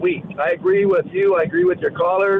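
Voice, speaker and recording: With noticeable background noise behind him, a man with an American accent talks at a moderate pace, his high pitch kept in fairly even intonation. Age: 60s. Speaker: caller. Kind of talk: call-in talk radio.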